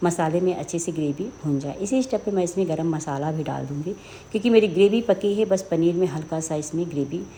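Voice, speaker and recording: A woman speaks in a somewhat breathy, fairly low voice with a dark, mellow tone. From Uttar Pradesh, India (Sultanpur). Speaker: home cooking video host. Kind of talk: cooking tutorial.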